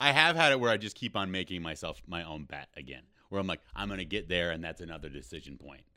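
Speaking very fast with an American accent, a man uses a very deep, low pitch with vocal fry, a bright, sharp tone, lively intonation and big swings in loudness. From Rochester, Minnesota. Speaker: comedian.

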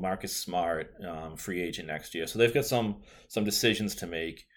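Very clean and silent in the background, the recording has a man with a Boston accent speaking at a moderate pace. His pitch is very deep and low, with ordinary variation. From Boston area, US. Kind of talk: casual chat. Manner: chatty, casual.

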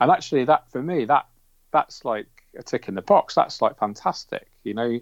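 A man's fairly high voice in a British accent, with lively intonation. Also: moderate pace, dry, close sound with no echo. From England. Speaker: aquascaper. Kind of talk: casual interview. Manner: calm, clearly explained.

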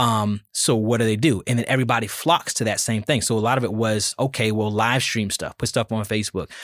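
A man speaks at a fairly quick pace with hardly any pauses, his medium-pitched voice unremarkable and his intonation fairly even. The recording is very clean, with a silent background and a dry, close sound free of echo. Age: 30s. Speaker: musician. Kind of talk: casual chat.

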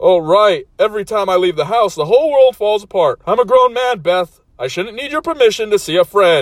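Fairly quick and with hardly any pauses, the speaker puts on a whiny character voice. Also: man, high pitch for a man. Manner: whiny, self-pitying.

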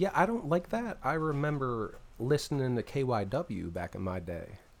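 A man with an American accent speaks at a moderate pace, his pitch swinging very widely. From Philadelphia area, US. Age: 40s. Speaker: musician. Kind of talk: casual chat.

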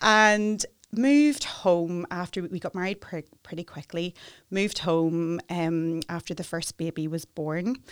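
The recording is very clean, with a silent background. A woman with a Northern Irish accent speaks at a fairly low pitch with ordinary pitch variation. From Northern Ireland, Newry. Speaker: immigration solicitor. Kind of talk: interview. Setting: studio.

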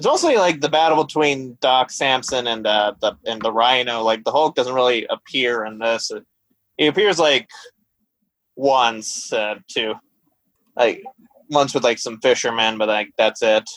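The voice is a plain, everyday voice with ordinary pitch variation at a moderate pace. The sound is dry and close, with no echo. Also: man, medium pitch for a man. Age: 20s. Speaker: astronomy graduate and podcast guest. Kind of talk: casual chat.

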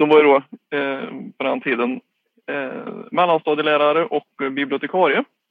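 This man has a Värmland accent and a fairly high pitch. He speaks at a moderate pace with ordinary pitch variation. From Värmland, Sweden (Skåre near Karlstad). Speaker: government communications officer and literary society board member. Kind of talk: interview. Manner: halting.

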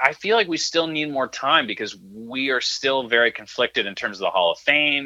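A man talks with an American accent and lively intonation. His tone is bright and sharp. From Connecticut, US. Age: 20s. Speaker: sports broadcaster. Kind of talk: casual chat.

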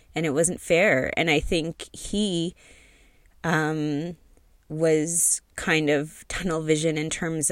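In a Canadian accent, a woman speaks very slowly with a very deep, low pitch. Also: very clean recording, silent background. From Canada, Toronto area. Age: 40s. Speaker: podcast host. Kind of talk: personal monologue. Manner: hesitant, many fillers.

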